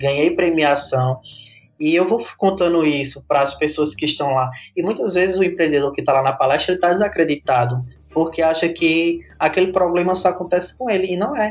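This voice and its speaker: Speaking at a fairly quick pace, a man with a Rio Grande do Norte accent uses a high pitch and ordinary pitch variation. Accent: Brazilian Northeastern (potiguar) Portuguese. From Brazil, Rio Grande do Norte interior (Seridó). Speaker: digital content creator and entrepreneur. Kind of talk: podcast interview.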